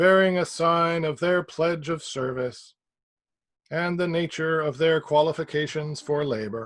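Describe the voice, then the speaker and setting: In a put-on character voice, a man sounds robotic at a high pitch. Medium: read story. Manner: mechanical, halting, fragmented.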